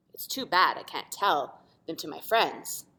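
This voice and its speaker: In a put-on character voice, a female-sounding speaker rumbles along at a moderate pace and a middle pitch. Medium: read story. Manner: grumbling.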